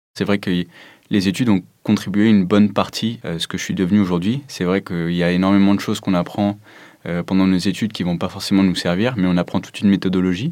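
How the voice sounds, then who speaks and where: A man's fairly low voice at a very fast pace, in a very clean recording with a silent background. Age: 20s. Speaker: aerospace propulsion engineer. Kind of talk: interview testimony.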